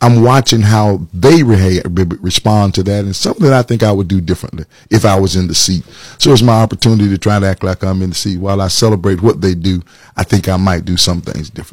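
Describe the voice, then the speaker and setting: On a very clean recording with a silent background and a dry, close sound with no echo, a man speaks very fast in a fairly low, somewhat breathy voice with ordinary pitch variation. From Atlanta, Georgia, US South. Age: 50s. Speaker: pastor and political candidate. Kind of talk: interview.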